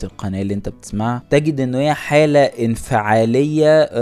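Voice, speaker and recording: A man talks in an unremarkable speaking voice at a moderate pace. His pitch varies in an ordinary way. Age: young. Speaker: podcast host. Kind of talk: solo podcast monologue.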